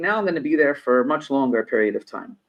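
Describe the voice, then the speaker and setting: With an American accent, a man with a plain, everyday voice talks at a fairly quick pace with ordinary pitch variation. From New York. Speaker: business consultant. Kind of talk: podcast interview; storytelling. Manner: conversational.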